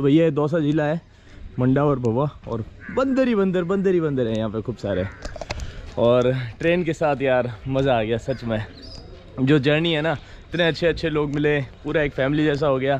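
A man speaks at a moderate pace with long, frequent pauses and ordinary pitch variation, his dry voice carrying no echo over light background noise. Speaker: travel vlogger. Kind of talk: casual vlog chat. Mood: cheerful, relaxed. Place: station. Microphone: phone near.

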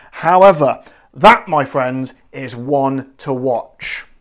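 A man talks in a West Country accent with an animated tone. The background is quiet. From southwest England. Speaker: gin reviewer, video host. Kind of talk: casual product review to camera. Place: kitchen. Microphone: lapel.

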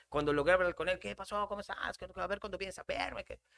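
Over a quiet background, the speaker sounds animated, with lively intonation and a bright, sharp tone. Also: man. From Yucatán, Mexico. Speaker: comedian; podcast guest. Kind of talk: casual chat. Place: studio. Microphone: studio mic.

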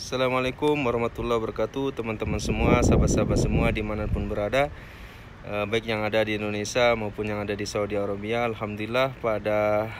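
In a fairly low, monotone voice with flat intonation, a man talks at a very fast pace, the sound dry with no echo and noticeable background noise around him. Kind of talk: casual vlog chat. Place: street. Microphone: phone near.

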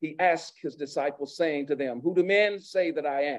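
The speaker keeps a moderate pace with ordinary pitch variation. Behind the voice, the background is quiet. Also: man. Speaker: pastor. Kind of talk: sermon. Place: church. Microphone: podium.

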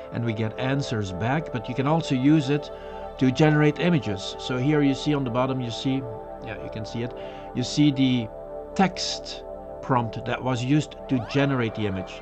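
The man talks at a moderate pace. Clear music sounds in the background. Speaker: webcast host. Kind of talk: informal tech webcast talk.

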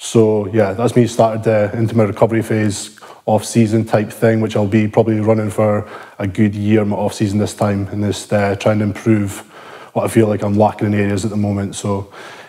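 A fairly low male voice, dark and mellow, at a fairly quick pace with flat, monotone intonation against a quiet background. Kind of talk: casual vlog chat. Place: gym. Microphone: lapel.

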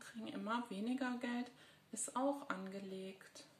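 A woman speaks at a fairly high pitch, slowly and with fairly even intonation. Room echo is audible around her voice. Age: 50s. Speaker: psychologist and video blogger; video blogger. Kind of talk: personal monologue. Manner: hesitant, many filler sounds. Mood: serious, concerned. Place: home room. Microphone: phone near.

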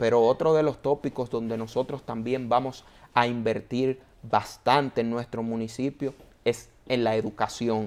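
This man talks at a fairly slow pace, his intonation monotone and flat. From Dominican Republic, San Antonio de Guerra; Dominican Republic. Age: 30s. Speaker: broadcaster and mayoral candidate; candidate. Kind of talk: interview. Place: studio. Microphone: lapel.

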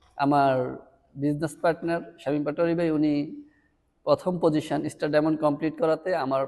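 A man speaks at a fairly high pitch with a dark, mellow tone. His intonation is monotone and flat over a quiet background. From Bangladesh, Comilla (Burichang). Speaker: network marketing leader. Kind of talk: motivational talk.

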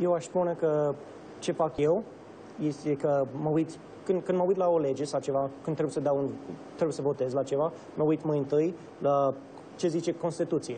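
Speaking with an English accent, a man with a fairly high voice uses fairly even intonation and long, frequent pauses. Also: moderate pace, very even loudness. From Romania (Bucharest), American family. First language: English (speaking Romanian). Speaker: state senator. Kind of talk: interview. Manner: halting.

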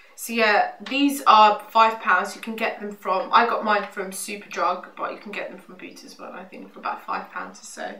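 The voice has a bright, sharp tone and fairly even intonation. Audible room echo can be heard. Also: woman, medium pitch for a woman, moderate pace.

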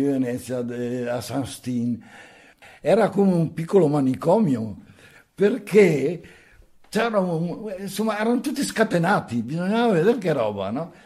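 A man's dark, mellow tone with very wide pitch swings, over a quiet background. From Venice, Italy (born in Nago, Trentino); Italy. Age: 80s+. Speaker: elderly local resident sharing memories; interviewee. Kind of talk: oral history testimony. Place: home room. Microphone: handheld.

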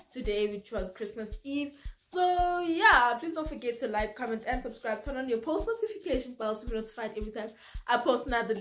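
A woman speaks at a fairly quick pace in a high voice, with faint music in the background. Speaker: vlogger. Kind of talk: casual vlog chat. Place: home room. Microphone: camera far.

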